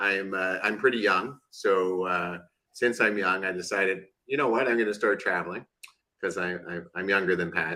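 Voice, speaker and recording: This man has a fairly low pitch and an unremarkable speaking voice. He talks at a moderate pace with a Canadian accent. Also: fairly even intonation. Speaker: podcast co-host. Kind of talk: casual chat.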